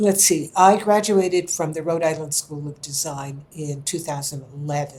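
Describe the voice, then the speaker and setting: A woman with a very deep, low pitch and a somewhat breathy sound speaks at a moderate pace with hardly any pauses, ordinary pitch variation and big swings in loudness. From California, US. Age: 80s+. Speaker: historian and artist. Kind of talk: interview.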